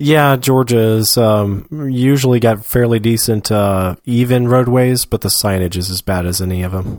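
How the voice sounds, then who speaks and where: A man with an American accent speaks in an ordinary speaking voice at a moderate pace. He hardly pauses, and the recording is very clean with a silent background. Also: medium pitch for a man, ordinary pitch variation. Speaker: podcast co-host. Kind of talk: casual chat. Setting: live broadcast, same room as co-host.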